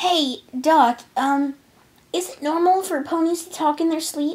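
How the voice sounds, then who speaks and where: In a put-on, squeaky character voice, a female-sounding speaker talks at an extremely high pitch and a fairly slow pace. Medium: read story.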